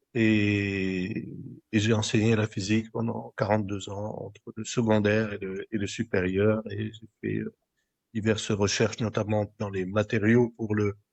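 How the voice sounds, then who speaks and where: Speaking at a fairly slow pace, a man with a fairly low pitch keeps a monotone, flat intonation while his loudness swings widely. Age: 70s. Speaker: physicist and energy expert. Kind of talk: podcast interview. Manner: halting, repeats words.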